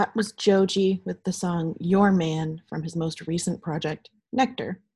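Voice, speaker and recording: Against a quiet background, a woman with a somewhat breathy voice speaks at a fairly slow pace. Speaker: college radio host. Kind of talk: radio DJ patter, introducing songs. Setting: home recording. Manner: casual, upbeat, chatty.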